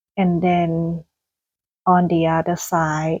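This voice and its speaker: A woman with a Thai accent speaks at a fairly low pitch. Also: dry, close sound with no echo. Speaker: gardening vlogger. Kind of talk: casual vlog monologue. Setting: indoors at home. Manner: hesitant, many fillers.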